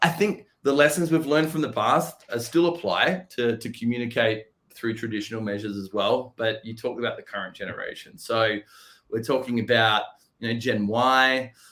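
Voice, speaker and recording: Medium-pitched man with a bright, sharp tone, ordinary pitch variation and a moderate pace. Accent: Australian. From Australia. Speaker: software company representative. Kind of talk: podcast interview.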